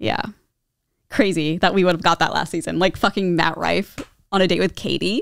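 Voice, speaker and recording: A woman's fairly low voice with vocal fry, ordinary pitch variation, moderate pace and long, frequent pauses, on a very clean recording with a silent background. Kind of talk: casual chat.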